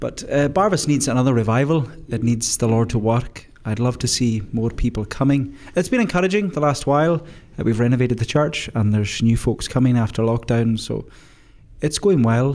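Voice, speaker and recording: At a moderate pace, a man talks in an ordinary speaking voice, his pitch medium and its variation ordinary. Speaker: minister. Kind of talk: casual group chat.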